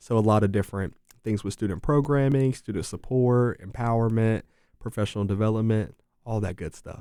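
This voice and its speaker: A man with an American accent speaks fairly quickly at medium pitch in a dark, mellow tone, with ordinary pitch variation and big swings in loudness, on a very clean recording with a silent background. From Durham, North Carolina. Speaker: university student affairs administrator. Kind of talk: interview.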